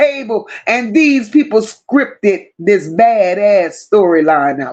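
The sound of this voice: Lively in intonation, a woman speaks at a slow pace with a slightly mellow tone.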